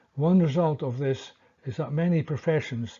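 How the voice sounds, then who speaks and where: A somewhat breathy man with a Scottish accent, fairly high pitch, ordinary pitch variation and a moderate pace. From Scotland. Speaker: history commentator. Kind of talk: scripted narration.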